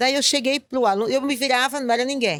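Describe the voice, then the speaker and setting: A woman with a northeastern Brazilian accent. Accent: northeastern Brazilian, kept after 20 years. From Northeast Brazil, Recife. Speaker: school principal. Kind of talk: interview conversation. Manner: calm; halting, many repetitions.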